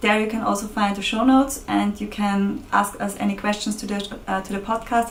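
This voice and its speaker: Over noticeable background noise, a woman speaks with a non-native accent at a moderate pace. Her medium-pitched voice stays monotone and flat. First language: German. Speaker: podcast co-host. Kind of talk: casual podcast sign-off.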